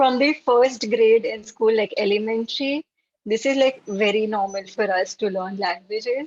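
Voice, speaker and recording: With a Gujarati accent, a woman talks at a fairly high pitch and moderate pace, showing ordinary pitch variation. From India, Maharashtra. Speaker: language learner at online meetup. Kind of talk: casual chat.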